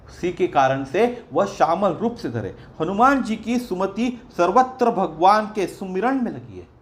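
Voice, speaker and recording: Speaking with lively intonation, the man has a high-pitched voice. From Maharashtra, India. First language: Marathi (speaking Hindi). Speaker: religious storyteller. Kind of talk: religious discourse.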